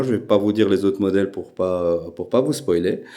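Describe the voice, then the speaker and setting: The tone is dark and mellow. The speaker has a Belgian accent. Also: man. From Belgium. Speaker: airgun YouTuber. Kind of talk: casual channel introduction. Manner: hesitant, many filler sounds.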